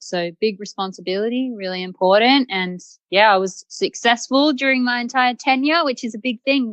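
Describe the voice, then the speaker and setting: With an Australian accent, a woman speaks with ordinary pitch variation. The sound is dry and close, without any echo. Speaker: site reliability engineer. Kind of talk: podcast interview.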